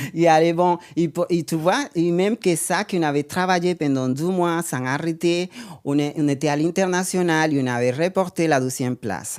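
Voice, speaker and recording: A woman's moderate pace and ordinary pitch variation come through on a very clean recording with a silent background. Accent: Venezuelan. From Venezuela. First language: Spanish (speaking French). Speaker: podcast host, beauty pageant director. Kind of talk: interview. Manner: halting.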